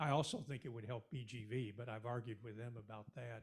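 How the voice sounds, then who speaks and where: A somewhat breathy male voice is heard. He talks at a moderate pace in a medium pitch. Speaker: audience member, investor. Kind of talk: audience question. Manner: halting.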